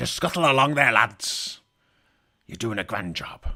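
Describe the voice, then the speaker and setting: A raspy, put-on character voice comes through. The recording is very clean, with a silent background. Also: man, medium pitch for a man, moderate pace. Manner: silly, jovial.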